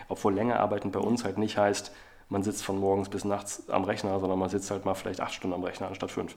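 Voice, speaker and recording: The man talks very fast in a fairly low pitch, his intonation monotone and flat. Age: 40s. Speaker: agency CEO and author. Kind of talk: interview.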